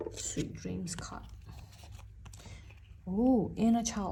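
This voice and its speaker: The woman talks at a very slow pace. Her speech carries a non-native accent. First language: not English. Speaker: tarot reader. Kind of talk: tarot reading to camera.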